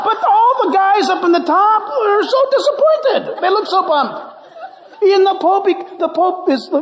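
Over noticeable background noise, a man with an American accent speaks at a moderate pace in an extremely high pitch, with lively intonation and very even loudness. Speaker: pastor. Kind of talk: sermon. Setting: church. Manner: animated.

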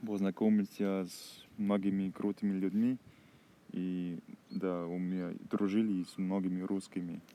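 A man speaks at a very deep, low pitch and a very slow pace. His tone is dark and mellow, and his intonation is monotone and flat. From Germany, Heinsberg district (North Rhine-Westphalia). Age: 20s. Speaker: language-learning podcaster. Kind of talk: casual monologue. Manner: halting, self-correcting.

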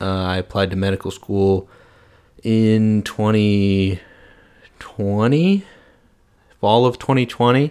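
Speaking at a fairly slow pace, a man with an unremarkable speaking voice and fairly low pitch shows ordinary pitch variation on a very clean recording with a silent background. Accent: American. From US Midwest, St. Louis, Missouri. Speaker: medical student podcaster. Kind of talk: solo podcast monologue. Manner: casual, with frequent fillers.

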